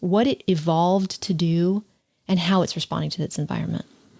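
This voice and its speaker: The speaker is a woman with a medium-pitched voice. Her tone sounds dark and mellow. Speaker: podcast host. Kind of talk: casual chat. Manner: fast.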